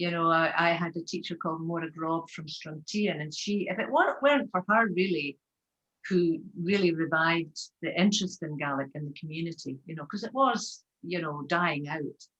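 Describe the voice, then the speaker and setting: With a Scottish Highland accent, a woman speaks at a moderate pace in a fairly low voice, her loudness swinging widely. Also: ordinary pitch variation. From Scotland, west coast Highlands (Taynuilt). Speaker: Gaelic singer. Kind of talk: casual interview chat.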